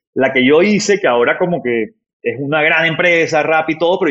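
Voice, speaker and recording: A man talks with lively, bouncing intonation. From Barranquilla, northern Colombia. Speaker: startup founder and CEO. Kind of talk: interview conversation.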